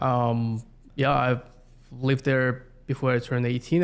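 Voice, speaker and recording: Speaking at a moderate pace, a man with a Siberian accent uses a medium pitch. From Russia, Yakutsk, Siberia. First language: Yakut. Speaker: community planner. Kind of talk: interview. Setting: podcast recording.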